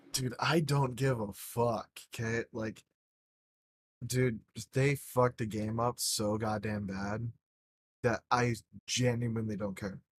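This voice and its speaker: A man's medium-pitched, somewhat breathy voice at a very slow pace, dry and close with no echo, fairly even in intonation, with long, frequent pauses. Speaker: gaming podcast host. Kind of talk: casual chat.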